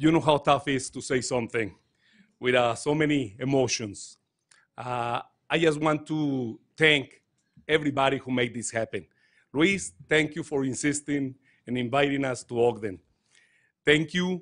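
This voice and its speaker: A man with a Mexican accent speaks at a moderate pace and a fairly high pitch, with ordinary pitch variation. He leaves long, frequent pauses. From Mexico. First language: Spanish. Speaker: touring dance company director. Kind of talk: speech at a council meeting. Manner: halting.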